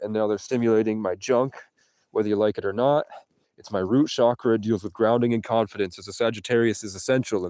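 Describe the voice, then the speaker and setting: A put-on character voice races along at a very fast pace, sounding strained, with fairly even intonation. Its loudness swings widely against a quiet background. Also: man, medium pitch for a man. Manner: strained, as if having trouble speaking.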